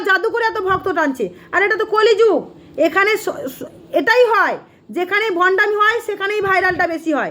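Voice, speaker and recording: Over noticeable background noise, a woman uses a raised, projected voice at an extremely high pitch, animated in tone with ordinary pitch variation. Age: 30s. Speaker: temple devotee YouTuber. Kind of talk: angry rant. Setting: temple.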